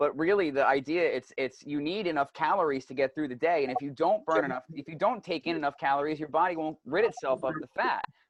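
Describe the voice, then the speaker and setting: A man's fairly high voice rushes out at a very fast clip. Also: ordinary pitch variation, hardly any pauses. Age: 30s. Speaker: podcast host, martial artist and massage therapist. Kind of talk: casual chat.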